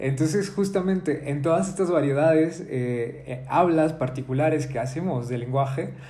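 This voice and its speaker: Moderate pace, ordinary pitch variation, a somewhat breathy quality and audible room echo. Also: man. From Mexico, Zacatecas. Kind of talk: casual discussion. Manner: halting.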